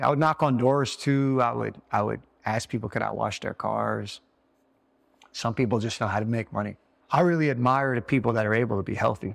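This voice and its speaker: A man talks fairly quickly in an ordinary speaking voice at medium pitch with ordinary pitch variation. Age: 40s. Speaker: podcast host. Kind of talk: casual interview chat. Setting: in the guests' home.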